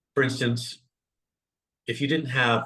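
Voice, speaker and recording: A man with an American accent at a very fast pace. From northern California. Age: 60s. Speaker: comedian. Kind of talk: interview conversation.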